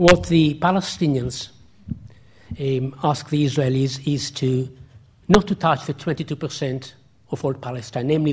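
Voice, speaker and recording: Somewhat breathy and fairly high in pitch, a man speaks at a fairly slow pace with ordinary pitch variation. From Israel. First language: Hebrew. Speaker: academic, historian. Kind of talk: public lecture with Q&A. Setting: lecture hall with audience.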